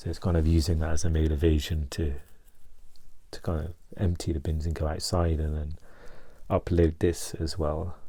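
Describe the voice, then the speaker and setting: A soft-spoken man with a very deep, low, dark and mellow voice talks at a moderate pace with long, frequent pauses. His delivery is monotone and flat, and somewhat breathy. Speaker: mental health vlogger. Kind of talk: personal vlog. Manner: halting, many fillers and restarts.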